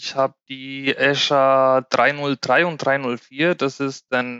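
A man is speaking. His voice is fairly high-pitched. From Spain. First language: Spanish (speaking German). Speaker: IT cloud consultant. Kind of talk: casual podcast discussion.

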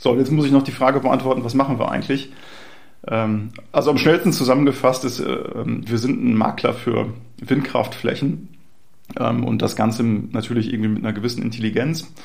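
A man speaks at a moderate pace with a medium pitch and some vocal fry. There is audible echo from the room. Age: 40s. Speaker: startup founder and CEO. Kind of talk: interview. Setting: in person at a startup venue. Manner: frequent hesitation fillers.

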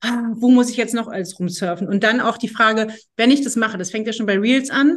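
Speaking at a moderate pace, a woman with an unremarkable speaking voice uses a fairly high pitch and ordinary pitch variation. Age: 40s. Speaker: agency head interviewing former employee. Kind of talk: casual interview.

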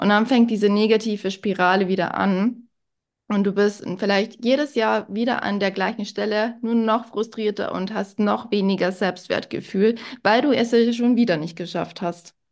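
Here a woman uses a normal speaking voice at a medium pitch and moderate pace. Her intonation is fairly even, and the background is quiet. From Bavaria, near Munich. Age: 20s. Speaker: health manager and fitness coach. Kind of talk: casual interview chat.

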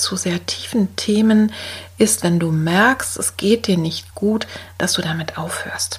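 With vocal fry and a medium pitch, a woman talks at a fairly slow pace and shows ordinary pitch variation. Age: 60s. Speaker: art therapist and podcast host. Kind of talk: solo podcast talk.

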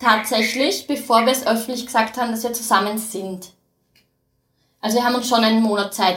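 In an Austrian accent, a woman speaks at a fairly quick pace. Her pitch is fairly high. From Austria (since age four). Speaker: horse farmer. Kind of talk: casual interview. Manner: lively, bubbly.

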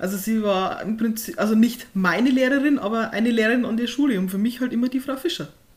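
A woman with a fairly high pitch and lively intonation at a moderate pace, against noticeable background noise. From Upper Palatinate, Bavaria (Hohenfels). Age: 20s. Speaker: author. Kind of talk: casual interview.

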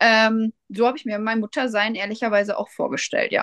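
A woman speaks at a moderate pace with a fairly high pitch, her voice dry and close with no echo against a quiet background. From Germany, Westphalia near Soest. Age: 30s. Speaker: first-time mother. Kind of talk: interview. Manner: hesitant, many fillers.

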